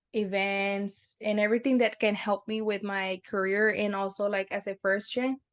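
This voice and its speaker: A woman speaks at a fairly slow pace with a Spanish accent, her medium-pitched voice flat and monotone. The background is quiet. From Texas border region, Brownsville. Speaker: university alumna. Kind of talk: casual interview. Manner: hesitant, many fillers.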